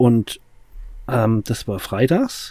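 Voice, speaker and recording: A man's somewhat breathy voice carries a dark, mellow tone and lively intonation. The recording is very clean, with a silent background. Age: 40s. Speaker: addiction recovery podcast host. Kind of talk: casual chat.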